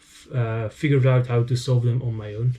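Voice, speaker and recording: In a somewhat breathy, dark and mellow voice of medium pitch, a man speaks with monotone, flat intonation. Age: 20s. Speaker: speedcubing YouTuber. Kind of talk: casual Q&A monologue. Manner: hesitant with fillers.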